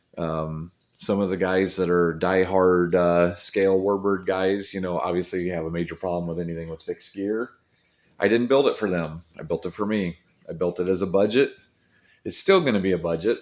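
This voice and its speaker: A man speaks at a fairly quick pace in a very deep, low voice with fairly even intonation. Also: quiet background. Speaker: RC model airplane hobbyist vlogger. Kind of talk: casual vlog update. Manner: halting, many fillers; relaxed, low-key.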